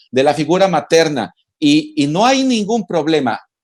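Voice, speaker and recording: Lively intonation marks a man's plain, everyday voice, pitched fairly high. He speaks at a fairly slow pace. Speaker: family visitation network official. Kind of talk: interview answer.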